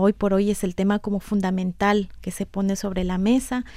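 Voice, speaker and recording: Mid-range female pitch with a dark, mellow tone. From Ecuador, Quito (highlands). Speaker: development cooperation worker. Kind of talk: radio interview. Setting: radio studio. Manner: halting, with repetitions.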